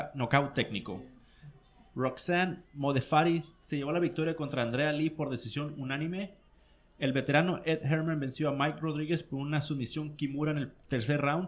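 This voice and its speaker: This man has an unremarkable speaking voice, fairly high in pitch. He keeps a moderate pace with fairly even intonation. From Mexico, Mexicali (Baja California). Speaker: combat sports commentator. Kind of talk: casual chat. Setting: studio.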